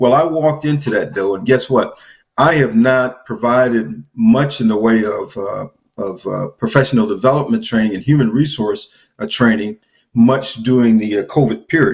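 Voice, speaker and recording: A man's ordinary speaking voice at medium pitch, with lively intonation. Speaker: business trainer. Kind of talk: interview.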